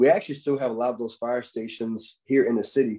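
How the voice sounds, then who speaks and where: A man with an American accent and a dark, mellow tone speaks at a medium pitch and a fairly quick pace. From Wilmington, North Carolina (US South). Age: 30s. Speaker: firefighter. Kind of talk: presentation to students. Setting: video call. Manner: frequent filler 'um'.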